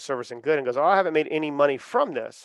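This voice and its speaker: With an American accent and an unremarkable speaking voice, a man talks at a fairly high pitch with ordinary pitch variation, recorded dry and close with no echo against a quiet background. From US South, Charleston, South Carolina. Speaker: podcast network founder. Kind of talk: interview.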